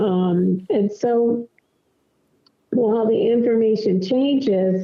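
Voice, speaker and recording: Speaking at a very slow pace, a woman is heard. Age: 60s. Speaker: MS advocate and writer. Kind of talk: podcast interview. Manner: halting, many fillers.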